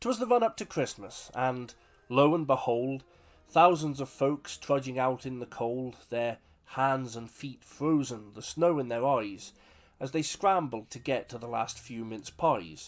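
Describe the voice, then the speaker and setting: A man with a British accent talks at a fairly slow pace, with big swings in loudness. The recording is very clean and the background silent. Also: medium pitch for a man, ordinary pitch variation. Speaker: author reading his own poem. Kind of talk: humorous poetry reading.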